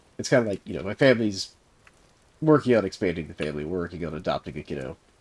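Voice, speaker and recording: In an American accent, a man with a very deep, low pitch speaks very fast, with very wide pitch swings and big swings in loudness. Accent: Southern US, comes out strongly at times. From US South. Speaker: video game streamer. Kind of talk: casual chat. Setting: live stream.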